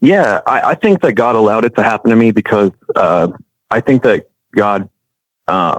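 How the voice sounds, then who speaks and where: A man talks at a moderate pace with very even loudness and long, frequent pauses, in a dry, close sound with no echo. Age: 30s. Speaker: testimony guest, Navy veteran. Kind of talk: testimony. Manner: halting.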